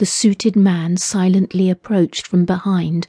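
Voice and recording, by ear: A natural voice reading text aloud.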